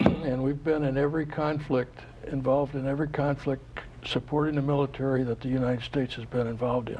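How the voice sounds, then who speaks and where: A man with an American accent speaks at a fairly quick pace. His intonation is monotone and flat, with noticeable background noise. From Florida, US. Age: 80s+. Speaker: war veteran. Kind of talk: interview. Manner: halting.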